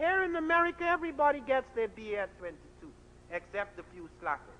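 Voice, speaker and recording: A man with an extremely high pitch talks at a fairly quick pace in a raised, projected voice with a bright, sharp tone. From Guyana. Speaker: scholar. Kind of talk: lecture.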